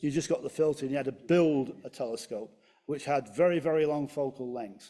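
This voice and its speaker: A man with a Manchester accent at a moderate pace, fairly high in pitch, with ordinary pitch variation and a dark, mellow tone. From Manchester, England. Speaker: amateur astronomer. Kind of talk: club lecture presentation. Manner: hesitant, many fillers.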